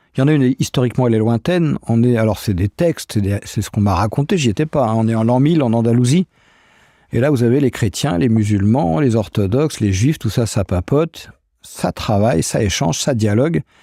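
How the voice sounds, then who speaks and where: This very clean recording has a silent background and a dry, close sound with no echo. A man talks at a fairly quick pace in a medium pitch, his tone dark and mellow. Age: 60s. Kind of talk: interview.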